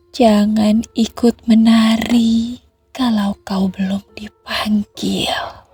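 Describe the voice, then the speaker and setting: Against music in the background, a woman speaks very slowly at a fairly high pitch, her intonation monotone and flat, with a dry, close sound and no echo. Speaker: ASMR horror storyteller. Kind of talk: whispered ASMR horror story. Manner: whispered, soft, slow.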